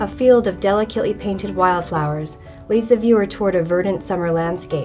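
Music plays in the background as a woman talks at a medium pitch. She keeps a fairly quick pace with ordinary pitch variation. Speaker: fine art specialist at an auction house. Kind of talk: corporate narration, auction sale promo.

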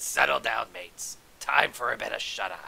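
A man does a gravelly, put-on character voice at a moderate pace. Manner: stern, commanding.

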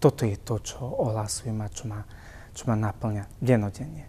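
This man's tone is dark and mellow, with somewhat breathy delivery. He speaks at a fairly slow pace and keeps his intonation fairly even. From Slovakia, Púchov; Slovakia. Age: 30s. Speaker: priest. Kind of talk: personal testimony interview. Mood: calm, warm, earnest. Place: church. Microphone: lapel.

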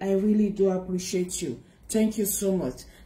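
A woman's somewhat breathy voice with a dark, mellow tone, at a moderate pace, with audible room echo. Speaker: spiritual vlogger. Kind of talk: casual vlog chat. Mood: warm, earnest. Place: home room. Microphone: phone near.

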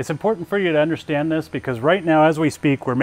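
Light background noise sits behind the voice. The man speaks with ordinary pitch variation. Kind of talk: shop tour presentation. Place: factory. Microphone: lapel.

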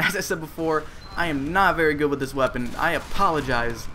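A man with an American accent talks at a fairly quick pace. Background noise is noticeable. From Cleveland, Ohio, US. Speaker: gaming YouTuber. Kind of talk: live gameplay commentary. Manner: casual, filled with uh and um. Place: home room.

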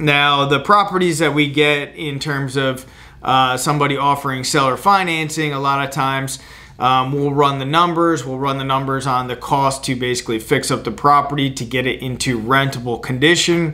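The man has a bright, sharp tone. He keeps a moderate pace and fairly even intonation. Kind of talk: explainer to camera. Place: office.

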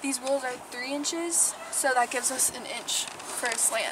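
With a high pitch and a moderate pace, a woman is heard in a dry sound with no echo, over noticeable background noise. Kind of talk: tutorial. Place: farm machine. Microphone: phone near.

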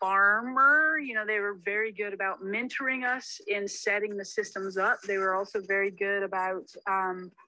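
The tone is bright and sharp. Intonation stays fairly even. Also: woman.

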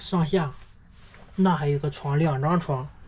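A woman with a dark, mellow, somewhat breathy tone speaks at a fairly slow pace with fairly even intonation. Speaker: touring cyclist vlogger. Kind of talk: casual vlog chat. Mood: curious, impressed. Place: open country. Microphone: phone near.

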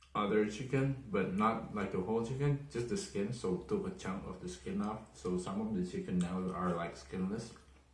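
A man at a fairly low pitch speaks at a moderate pace with hardly any pauses and ordinary pitch variation, with audible room echo around him. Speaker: food vlogger. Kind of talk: casual vlog chat. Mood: relaxed, mildly complaining. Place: home room. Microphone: phone near.

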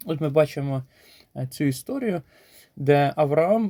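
A man talks at a fairly slow pace with ordinary pitch variation. The recording is very clean and the background is silent. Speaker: preacher. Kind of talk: short sermon with scripture reading. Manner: earnest, exhortative.

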